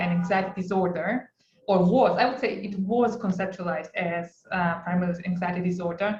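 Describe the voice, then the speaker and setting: A woman speaks with a non-native accent. Her pitch is medium for a woman. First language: not English. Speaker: clinical psychologist lecturer. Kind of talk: lecture. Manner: halting, many fillers.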